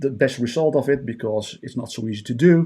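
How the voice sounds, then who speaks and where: A man with a Dutch accent speaks at a moderate pace and medium pitch, his dark, mellow tone showing ordinary pitch variation on a very clean recording with a silent background. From Netherlands. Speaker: trading bot vendor. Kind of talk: tutorial. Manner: hesitant with frequent fillers.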